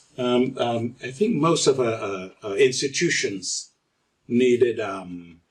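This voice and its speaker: Somewhat breathy and with lively intonation, a man speaks at a very slow pace. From Caribbean. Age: 80s+. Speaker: retired construction technician. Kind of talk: interview answer.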